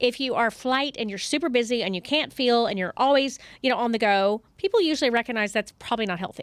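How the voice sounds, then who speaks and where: A speaker with a Southern US accent talks at a very fast pace, with hardly any pauses. The tone is animated, and the pitch varies in an ordinary way. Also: woman, high pitch for a woman. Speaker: psychotherapist. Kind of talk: podcast interview.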